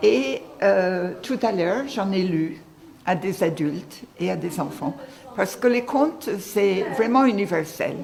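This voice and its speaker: Over noticeable background noise, a woman with a strong Irish accent talks very slowly at medium pitch, her voice making very wide pitch swings. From Ireland. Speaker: volunteer storyteller, retired social worker. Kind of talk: interview with story reading.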